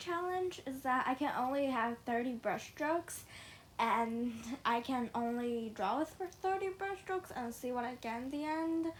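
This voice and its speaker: Her pitch high, a woman speaks at a moderate pace. Her intonation is lively. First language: not English. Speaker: digital art youtuber. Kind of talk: voiceover. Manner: hesitant, many fillers.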